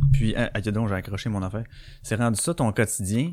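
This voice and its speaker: Here a man speaks at a medium pitch with a Quebec accent. The sound is dry and close with no echo, on a very clean recording with a silent background. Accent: Québécois French. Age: 30s. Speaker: podcast host. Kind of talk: live podcast chat. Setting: live stream.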